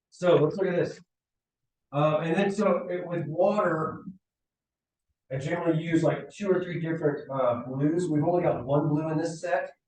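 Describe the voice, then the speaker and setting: Over audible room echo, a man with a high-pitched voice speaks at a moderate pace with long, frequent pauses. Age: 40s. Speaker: design lecturer. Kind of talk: lecture. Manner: animated.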